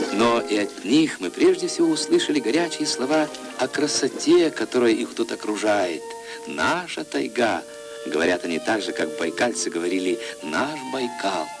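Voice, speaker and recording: Over music in the background, a man speaks at a moderate pace, his pitch swinging very widely. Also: medium pitch for a man. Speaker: documentary narrator. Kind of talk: documentary narration.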